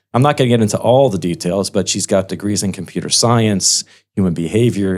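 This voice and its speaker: Recorded very cleanly against a silent background, a man with an American accent speaks at a fairly quick pace. His pitch is fairly low with ordinary variation, and he has an ordinary speaking voice. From United States. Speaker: podcast host, wealth management executive. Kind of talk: interview podcast.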